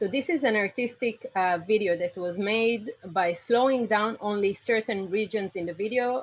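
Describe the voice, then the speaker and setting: Speaking at a medium pitch, a woman varies it in an ordinary way. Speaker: computer vision researcher. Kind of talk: lecture. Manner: fast.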